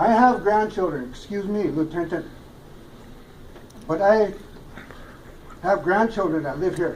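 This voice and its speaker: With audible room echo behind him, a man speaks at a fairly slow pace in a high voice, leaving long, frequent pauses. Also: ordinary pitch variation. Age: 60s. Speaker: community member. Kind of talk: public comment.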